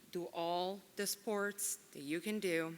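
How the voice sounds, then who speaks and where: Speaking with an Italian accent, a woman uses a medium pitch, a bright, sharp tone and fairly even intonation on a very clean recording with a silent background. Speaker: Italian teacher. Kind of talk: award speech.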